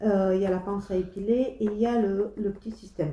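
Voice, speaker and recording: A dark, mellow tone comes through, with pitch that shifts in an ordinary way. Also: woman. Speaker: beauty vlogger. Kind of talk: casual chat. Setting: home kitchen. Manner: halting; soft-spoken.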